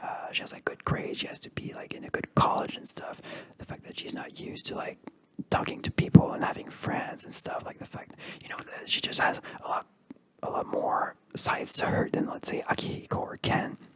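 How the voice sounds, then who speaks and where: Whispering at a fairly quick pace comes through over noticeable background noise. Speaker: ASMR creator. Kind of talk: ASMR video game ramble. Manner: whispered.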